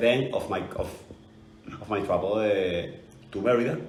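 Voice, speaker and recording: This voice has a Venezuelan accent and audible room echo. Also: man. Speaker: football fan. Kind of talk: casual interview. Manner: halting.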